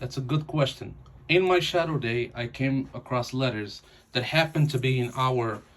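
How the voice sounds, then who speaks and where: The man's voice is somewhat breathy and medium in pitch, with ordinary pitch variation. He talks at a moderate pace. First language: not English. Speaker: new mail carrier. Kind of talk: home tutorial. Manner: halting.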